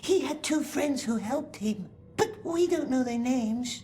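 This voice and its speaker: A high-pitched, put-on character voice comes through clear background noise. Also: female-sounding voice, moderate pace. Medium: video game. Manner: talks to himself in plural, whining and scheming.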